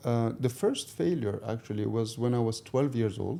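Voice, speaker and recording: A man's dark, mellow tone at medium pitch with ordinary pitch variation. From Morocco, Tangier. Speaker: marketing director. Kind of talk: interview. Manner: halting.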